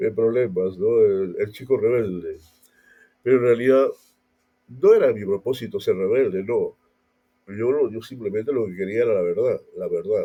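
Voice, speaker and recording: Long, frequent pauses break up a man's moderately paced speech. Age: 60s. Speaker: pastor. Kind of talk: casual talk. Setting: audio podcast. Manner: halting.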